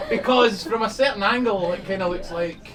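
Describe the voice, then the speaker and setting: A man in a Scottish accent at a moderate pace, with very wide pitch swings, audible room echo and crowd noise behind him. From Scotland. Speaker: magician. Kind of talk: stand-up magic performance. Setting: stage with live audience. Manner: animated, comedic.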